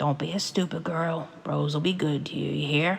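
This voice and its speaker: A put-on character voice sounds gravelly and raspy at a middle pitch. It moves at a moderate pace. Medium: read story. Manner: blunt, flat.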